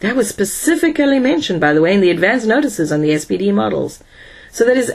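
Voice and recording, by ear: A passage is read aloud in a natural voice.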